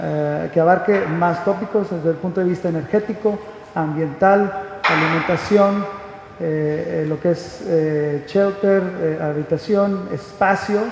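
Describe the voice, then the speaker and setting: A man with a Mexican accent talks at a fairly slow pace in a high pitch with fairly even intonation. Room echo is audible, and background noise is noticeable. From Mexico. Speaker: conference speaker. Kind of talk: lecture. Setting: stage with audience. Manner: halting, many fillers.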